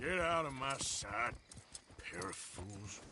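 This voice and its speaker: Over clear background noise, a man puts on a raspy character voice of medium pitch, swinging very widely in pitch at a fairly slow pace. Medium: video game. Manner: gruff, blunt.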